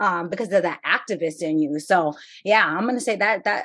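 A woman's ordinary speaking voice at a moderate pace. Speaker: podcast host and HSI researcher. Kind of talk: interview conversation.

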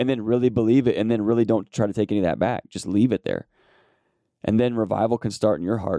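A man's dark, mellow tone at a fairly quick pace with fairly even intonation, dry and close with no echo. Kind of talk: solo devotional podcast, prayer. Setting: solo recording, no guest. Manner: fervent, earnest, pleading.

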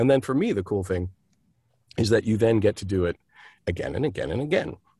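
Somewhat breathy, a man at medium pitch speaks with lively intonation on a very clean recording with a silent background and a dry, close sound with no echo. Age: 60s. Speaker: actor, director and playwright. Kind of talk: interview.

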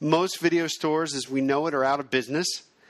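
An unremarkable speaking voice belongs to a man whose pitch is fairly high and varies in an ordinary way. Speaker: podcast host, filmmaking educator. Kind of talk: casual, conversational.

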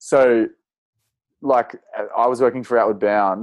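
A man with an Australian accent at a moderate pace and fairly even intonation. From Australia, northern New South Wales. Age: 20s. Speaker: outdoor educator and cycling adventurer. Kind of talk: casual interview.

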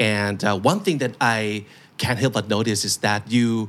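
The speaker is a man with a Thai accent. The recording is very clean, with a silent background. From Thailand. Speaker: podcast host. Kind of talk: interview.

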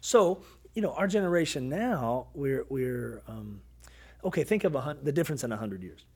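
With an American accent, a man speaks at a moderate pace in a fairly high pitch. His pitch swings very widely and his loudness shifts in big swings. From US South, Kentucky. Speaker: pastor. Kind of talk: casual chat. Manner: animated.

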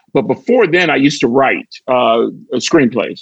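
The speaker is a man with an American accent. His pitch varies in an ordinary way. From US Midwest. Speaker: stand-up comedian and actor. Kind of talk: interview storytelling. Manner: jokey.

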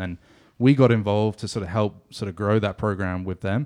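In a southwest England accent, a man speaks with a fairly low pitch and fairly even intonation. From England, Exeter. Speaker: soccer club staff member and former radio co-host. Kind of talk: casual chat.

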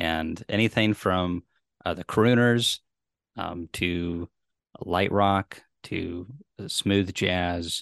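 A man talks at a very slow pace with fairly even intonation and long, frequent pauses. The sound is dry and close with no echo, over a quiet background. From Tennessee. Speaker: beekeeper and bee educator. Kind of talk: casual interview chat.

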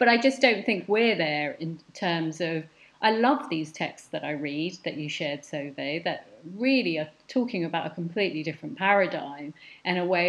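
A woman with a London accent speaks in a fairly low voice with lively intonation. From West London (Hounslow). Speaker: curator and art educator. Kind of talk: casual interview conversation.

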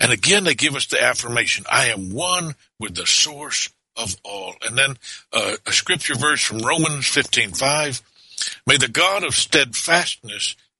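A man with a Southern US accent speaks at a moderate pace in a fairly high pitch, his lively intonation touched by vocal fry, in a dry, close recording with no echo. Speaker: minister. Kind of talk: casual chat; reading aloud. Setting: studio. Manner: animated.

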